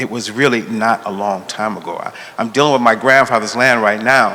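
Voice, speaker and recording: Medium-pitched male speech over noticeable background noise. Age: 60s. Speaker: law school dean, civil rights lawyer. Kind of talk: panel discussion. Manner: halting.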